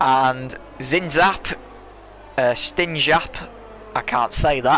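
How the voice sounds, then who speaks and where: A man with an English accent speaks at a very slow pace, his fairly high pitch showing ordinary variation. Noticeable background noise is present. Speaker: sim racing commentator. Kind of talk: live commentary.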